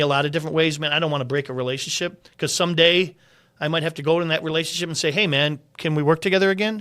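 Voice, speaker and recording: Bright and sharp in tone, a man speaks at a very fast pace. His pitch is fairly high and his intonation fairly even. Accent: American. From Central New York, North Syracuse. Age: 60s. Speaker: restaurant consultant. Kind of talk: casual chat.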